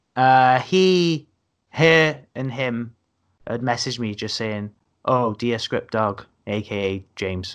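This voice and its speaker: Very slowly and with lively intonation, a man of medium pitch speaks in a strong South Wales accent. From Wales, Newport. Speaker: comedian. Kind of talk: casual chat. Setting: video call.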